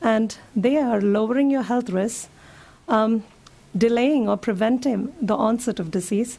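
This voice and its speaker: A fairly slow pace with ordinary pitch variation, set against noticeable background noise. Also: woman, fairly high pitch for a woman. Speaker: physician giving a talk to seniors. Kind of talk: public health talk.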